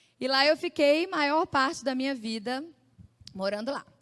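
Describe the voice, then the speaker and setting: Heard in a dry, close sound with no echo, a woman speaks at a moderate pace. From Brazil, Belo Horizonte (Minas Gerais). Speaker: church speaker giving testimony. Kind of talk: testimony.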